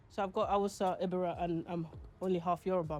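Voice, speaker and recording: A woman with a fairly low pitch and monotone, flat intonation, with music in the background. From Nigeria (Lagos). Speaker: content creator. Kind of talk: documentary interview.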